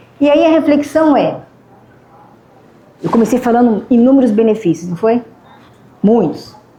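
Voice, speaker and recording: A woman speaks in a high pitch with lively intonation at a moderate pace, her loudness very even. Long, frequent pauses occur, with noticeable background noise. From Ribeirão Preto, São Paulo state, Brazil. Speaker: motivational speaker and biomedical scientist. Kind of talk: lecture. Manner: conversational, engaging the audience.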